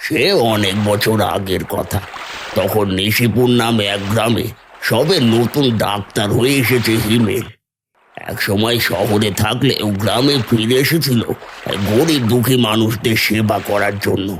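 A man puts on a cartoonish character voice at a medium pitch. He delivers it at a fairly slow pace. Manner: slow, grave.

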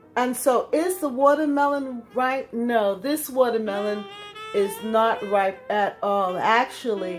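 Clear music plays behind a woman with a high-pitched voice. She talks at a very slow pace. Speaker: home gardener vlogger. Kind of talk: casual vlog chat. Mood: amused, mildly disappointed. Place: kitchen. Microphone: phone near.

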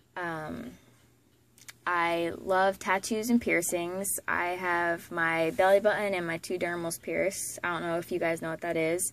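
A woman with an American accent speaks at a fairly slow pace and fairly low pitch. The sound is dry, with no echo. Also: fairly even intonation. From Florida. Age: 20s. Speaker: vlogger, young mother and former soldier. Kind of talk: casual self-introduction vlog. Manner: hesitant, with many fillers. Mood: relaxed, laid back. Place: home room. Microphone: phone near.

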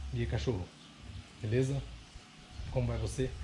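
Light background noise sits under speech that goes at a moderate pace. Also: man. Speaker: family vlogger. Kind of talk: casual vlog chat. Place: home room. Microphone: phone near.

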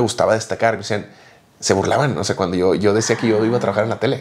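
In an ordinary speaking voice, a man talks at a medium pitch with fairly even intonation. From Mexico. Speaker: podcast co-host. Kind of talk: casual chat. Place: home room. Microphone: lapel.

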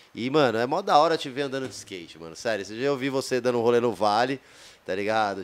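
A man speaks at a fairly quick pace. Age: 40s. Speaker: podcast host, skateboarder; podcast host. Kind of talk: casual interview. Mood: warm, admiring. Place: studio. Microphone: studio mic.

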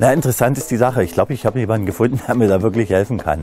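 Clear music runs in the background. A man speaks with ordinary pitch variation. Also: dry sound with no echo. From Upper Lusatia, Saxony, Germany. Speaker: presenter. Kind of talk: casual talk to camera. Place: garden. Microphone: lapel.

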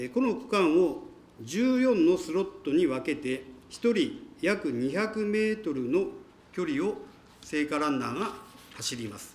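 A man's high-pitched voice swings very widely in pitch as he talks at a fairly slow pace. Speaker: mayor. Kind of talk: formal official answer. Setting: council chamber. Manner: formal. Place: hall. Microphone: podium.

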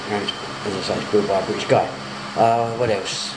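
A man speaks against loud background noise. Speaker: vlogger abroad. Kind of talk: casual vlog chat.

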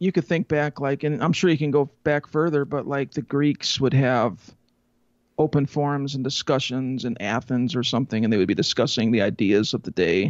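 A man talks at a fairly quick pace. The sound is dry with no echo, and the background is quiet. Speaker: interview guest. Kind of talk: interview answer. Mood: amused then thoughtful. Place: home room. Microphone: handheld.

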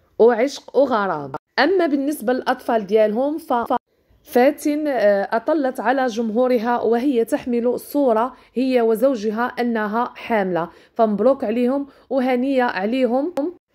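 A woman's high-pitched voice with a Moroccan accent, dark and mellow in tone, at a fairly slow pace with ordinary pitch variation. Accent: Moroccan Darija. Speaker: YouTuber and online seller. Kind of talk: celebrity profile narration; sales pitch.

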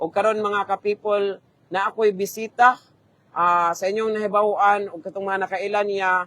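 In a dry, close sound with no echo, a man with a high pitch raises and projects his voice, bright and sharp in tone, monotone and flat, at a moderate pace. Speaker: live stream host. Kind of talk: interview.

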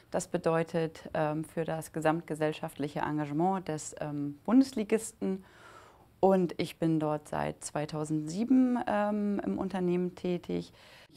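At a very slow pace, a woman with a fairly low pitch and a dark, mellow tone speaks with lively intonation. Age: 30s. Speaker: football club executive. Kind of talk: interview testimony. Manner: hesitant, many filler sounds. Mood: warm, reflective. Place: studio. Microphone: lapel.

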